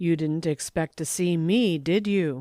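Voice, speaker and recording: A put-on character voice at a middle pitch and a fairly slow pace, in a very clean recording with a silent background. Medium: read story. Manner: stiff, formal.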